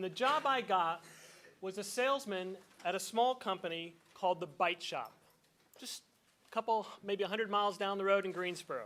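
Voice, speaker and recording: Raised and projected, a man's high-pitched voice has a bright, sharp tone, ordinary pitch variation and a moderate pace. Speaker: event host. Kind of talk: introduction speech.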